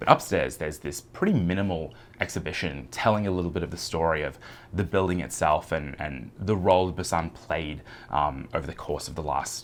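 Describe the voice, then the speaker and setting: This man has a very deep, low pitch and an Australian accent. He talks at a fairly quick pace with vocal fry. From Australia, Brisbane. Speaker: travel vlogger. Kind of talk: travel vlog narration. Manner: casual with many fillers.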